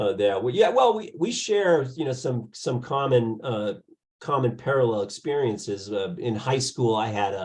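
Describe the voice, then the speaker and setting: A somewhat breathy man at medium pitch, with lively intonation and a moderate pace. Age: 60s. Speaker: podcast interviewer, music label founder. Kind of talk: casual interview.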